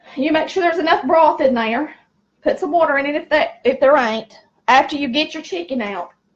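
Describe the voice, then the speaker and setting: Extremely high pitch and lively intonation from a woman in a Southern US accent. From US South, rural. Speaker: cooking channel host. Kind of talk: cooking tutorial. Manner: loud; chatty, folksy.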